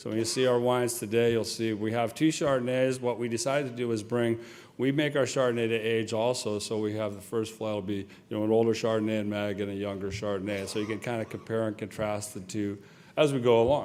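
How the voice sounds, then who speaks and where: A man with an American accent at a medium pitch, very fast pace and fairly even intonation, with audible room echo. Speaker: winemaker. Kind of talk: speech at wine tasting dinner.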